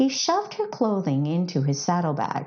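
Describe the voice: At a moderate pace, a woman with a fairly low pitch swings her pitch very widely, her tone slightly mellow with a slightly husky edge.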